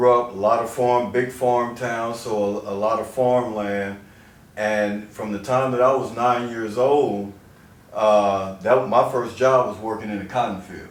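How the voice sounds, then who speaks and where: With an American accent, a man speaks at a fairly slow pace and medium pitch. His intonation stays fairly even, and audible room echo can be heard. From US Midwest, southeast Missouri Bootheel. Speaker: chiropractor. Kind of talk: interview. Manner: casual, repeating words.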